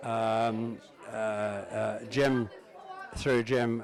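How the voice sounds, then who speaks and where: With a southern English accent, a man talks over crowd noise in the background, and the room echo is audible. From England, Uxbridge (west London). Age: 70s. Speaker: family member. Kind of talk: reminiscence. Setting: family reunion gathering. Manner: halting, many fillers.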